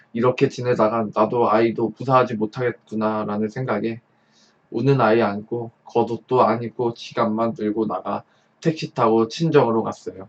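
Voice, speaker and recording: A man with an unremarkable speaking voice talks at a moderate pace, his medium pitch carrying fairly even intonation. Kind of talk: story reading.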